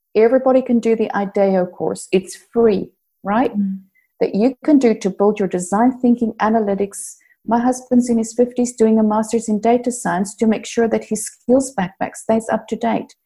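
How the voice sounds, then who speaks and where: Fairly high for a woman, her voice is somewhat breathy and dark, with a mellow tone and fairly even intonation. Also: moderate pace. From South Africa. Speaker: workplace strategist and organizational psychologist. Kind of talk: interview.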